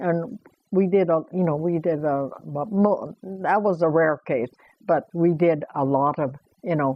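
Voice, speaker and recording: A woman speaks at a very slow pace. Her pitch is fairly low, with ordinary variation. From Canada. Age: 80s+. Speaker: internment survivor, former farmer. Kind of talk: oral history interview answer.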